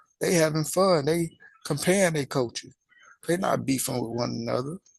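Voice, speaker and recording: Moderately paced male speech with fairly level intonation. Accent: Southern US. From US South. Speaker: religious commentary channel host. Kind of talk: casual monologue.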